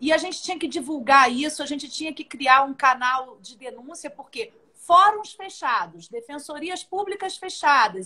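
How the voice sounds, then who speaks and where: A woman with a Rio de Janeiro accent speaks in a raised, projected voice at a high pitch, with lively intonation, a bright, sharp tone and a moderate pace. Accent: carioca. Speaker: judge. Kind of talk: live online interview.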